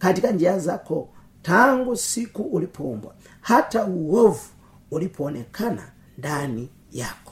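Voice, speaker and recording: The speaker moves at a fairly slow pace with very wide pitch swings. Loudness rises and falls in big swings. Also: man. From Tanzania, Pwani region. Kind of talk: sermon.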